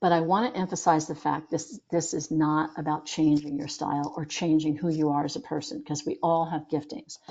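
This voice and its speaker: Speaking with an American accent, a woman keeps a fairly quick pace with hardly any pauses. Her pitch is very deep and low. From northern US. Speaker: leadership coach and webinar presenter. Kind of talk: webinar presentation. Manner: fast; animated.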